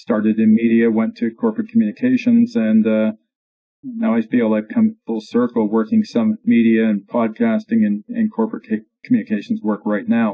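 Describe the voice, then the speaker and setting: Speaking at a moderate pace, a man talks with a Canadian accent. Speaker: radio news anchor, communications consultant. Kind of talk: interview.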